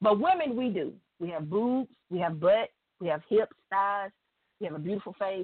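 Her intonation rises and falls with plenty of life. The woman keeps to a moderate speed. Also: medium pitch for a woman. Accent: Southern US. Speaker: radio show guest. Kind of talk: casual chat. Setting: phone call.

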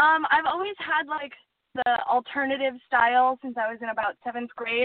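Here a woman speaks with an American accent at a high pitch. Her pace is fairly quick. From US Upper Midwest (Duluth, Minnesota / Superior, Wisconsin). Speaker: film producer. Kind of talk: interview.

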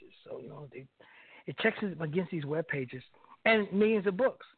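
A man talks with a high pitch that makes very wide swings. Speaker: radio co-host. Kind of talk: casual interview chat. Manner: enthusiastic, repetitive.

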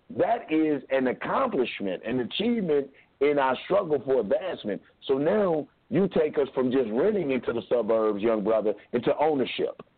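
A man with a fairly high pitch speaks at a moderate pace. His pitch swings very widely while his loudness stays very even. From Kentucky. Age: 40s. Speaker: radio host. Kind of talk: call-in talk show.

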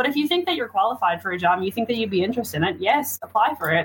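A woman speaks with a Newfoundland accent. Her intonation is lively. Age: 20s. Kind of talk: casual chat.

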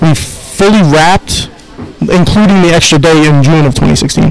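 Noticeable background noise sits behind a man speaking with a New York accent. His pitch is fairly high with ordinary variation, and his pace is fairly slow. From Queens, New York. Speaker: film director. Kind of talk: interview.

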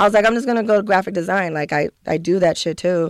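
With an American accent and a plain, everyday voice, a woman of medium pitch talks at a fairly quick pace with ordinary pitch variation on a very clean recording with a silent background. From San Diego, South Bay (California). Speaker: designer and artist. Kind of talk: casual chat.

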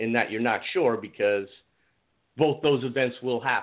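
A man with a plain, everyday voice and a fairly quick pace. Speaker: caller. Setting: phone call.

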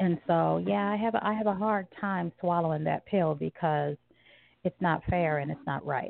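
With an American accent, a woman uses an ordinary speaking voice, fairly low in pitch, with lively intonation at a moderate pace. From US South, small rural town. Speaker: guest. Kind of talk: casual chat.

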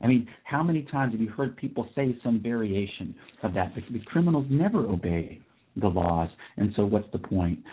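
A man with a plain, everyday voice talks at a moderate pace, with a medium pitch and lively intonation. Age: 40s. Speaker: radio talk show host. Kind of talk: solo talk radio commentary. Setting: studio.

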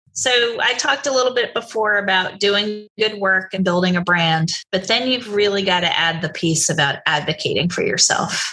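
An unremarkable speaking voice at a moderate pace, with ordinary pitch variation and very even loudness. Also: woman, medium pitch for a woman. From New Jersey. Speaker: aerospace executive. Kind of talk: interview.

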